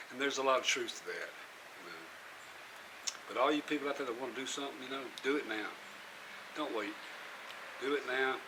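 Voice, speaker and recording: With noticeable background noise and audible room echo, a man with a fairly high voice talks very fast in a flat monotone, broken by long, frequent pauses. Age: 60s. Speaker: vlogger building a boat. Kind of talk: casual vlog monologue.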